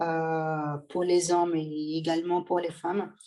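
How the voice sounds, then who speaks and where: A woman's fairly low, monotone, flat voice with a Portuguese accent, at a very slow pace. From Brazil. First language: Portuguese (speaking French). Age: 20s. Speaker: bodybuilding athlete and coach. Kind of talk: podcast interview. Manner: hesitant, many fillers.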